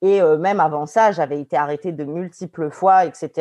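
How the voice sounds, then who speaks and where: In a dry, close recording with no echo and a quiet background, a woman speaks fairly slowly with a fairly low pitch, a dark, mellow tone and ordinary pitch variation. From Paris suburbs, France. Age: 30s. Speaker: lawyer. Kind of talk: casual interview. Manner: halting, frequent repetitions.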